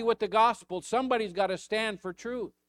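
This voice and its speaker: An extremely high-pitched male voice at a fairly quick pace, with ordinary pitch variation and a dry, close sound with no echo. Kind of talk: sermon, evening church service. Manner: fervent, pulpit-style, rhetorical 'amen?' appeals to the congregation.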